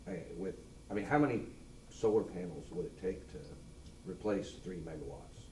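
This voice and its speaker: A man speaks fairly quickly with an American accent. Room echo is audible. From Missouri, Lafayette County. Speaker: member of the public. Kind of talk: public comment at meeting. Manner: loud.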